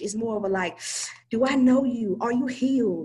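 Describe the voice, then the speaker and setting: A woman with a plain, everyday voice, lively intonation and a moderate pace. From US South, Charlotte, North Carolina. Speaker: life coach. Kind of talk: interview.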